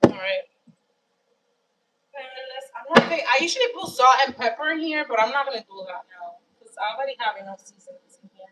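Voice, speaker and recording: A woman talks in a high voice with lively intonation and big swings in loudness. Her pace is fairly quick, broken by long, frequent pauses. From Dominican Republic. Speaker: home cook livestreamer. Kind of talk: cooking livestream. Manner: casual, conversational.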